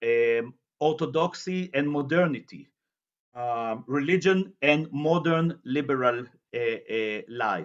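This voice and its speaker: Very slow pace in an Israeli accent, with lively intonation and a quiet background. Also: man, fairly high pitch for a man. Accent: Israeli Hebrew. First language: Hebrew. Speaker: journalist and researcher giving a lecture. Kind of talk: lecture. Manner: halting, many fillers and repetitions.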